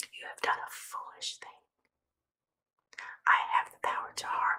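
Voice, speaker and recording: Whispering in a soothing tone, the voice moves at a fairly slow pace. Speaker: ASMR Bible reader. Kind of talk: scripture reading. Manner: whispered; soft-spoken, soothing.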